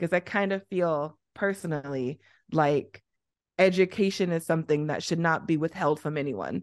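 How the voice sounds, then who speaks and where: A woman with an American accent and a fairly low pitch has an unremarkable speaking voice, ordinary pitch variation and a moderate pace against a quiet background. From Southern Illinois, US. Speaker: podcaster and activist. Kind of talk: interview conversation.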